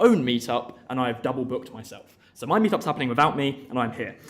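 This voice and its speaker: Audible room echo surrounds a man's voice. He talks at a medium pitch and a very fast pace. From Essex, England. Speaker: conference speaker, developer advocate. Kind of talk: tech talk. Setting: stage with audience.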